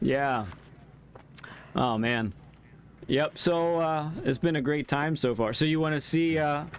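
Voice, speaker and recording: A fairly high-pitched man talks at a fairly slow pace with long, frequent pauses. His loudness is very even and his pitch variation ordinary. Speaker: sim racing streamer. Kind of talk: casual chat. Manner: laid back.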